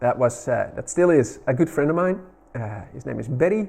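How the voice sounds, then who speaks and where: In a Dutch accent, the voice moves at a moderate pace with lively intonation. Its tone is dark and mellow, and somewhat breathy. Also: man. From Netherlands. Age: 40s. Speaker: retro gaming YouTuber. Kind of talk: casual video narration.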